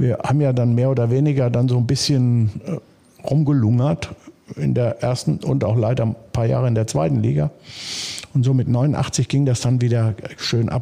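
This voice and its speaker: Ordinary pitch variation in a male voice, with noticeable background noise around it. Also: medium pitch for a man, moderate pace, very even loudness. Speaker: former footballer and stadium announcer. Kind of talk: casual interview. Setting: club office.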